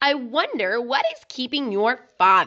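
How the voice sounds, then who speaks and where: Someone does a put-on character voice at a fairly slow pace. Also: female-sounding voice. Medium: read story.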